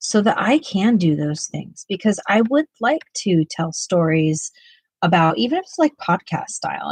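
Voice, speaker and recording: A somewhat breathy voice with an American accent speaks at a moderate pace in a dry, close sound with no echo. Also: woman. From US West Coast (Ventura County, California). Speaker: art YouTuber. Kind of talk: casual livestream chat. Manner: halting, many fillers.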